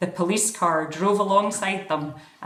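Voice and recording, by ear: Someone is reading aloud in a natural voice. The words are read out, not recited.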